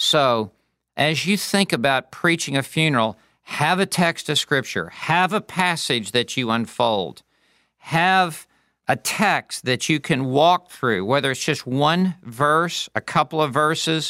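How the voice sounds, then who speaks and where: The man's tone is bright and sharp, his intonation lively and his loudness very even. He talks at a very slow pace in a dry, close sound with no echo. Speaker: pastor and preaching teacher. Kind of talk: lecture. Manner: demonstrative and passionate when preaching.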